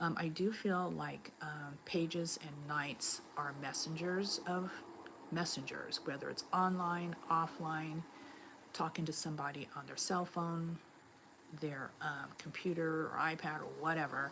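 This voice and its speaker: A woman with an American accent speaks at a fairly slow pace in a very deep, low pitch, her intonation monotone and flat. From Los Angeles, US. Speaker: tarot reader. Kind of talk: live stream tarot reading.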